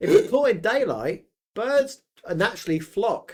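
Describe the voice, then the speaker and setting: An animated man's voice at an extremely high pitch, with very wide pitch swings and a slight northern English accent. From England, Yorkshire/Suffolk family. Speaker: podcast co-host, creator. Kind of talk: casual chat.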